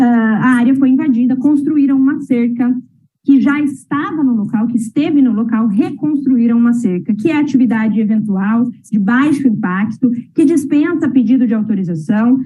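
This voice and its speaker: A woman with a high pitch speaks at a moderate pace, using ordinary pitch variation and very even loudness. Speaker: lawyer. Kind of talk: oral argument at administrative hearing. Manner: formal.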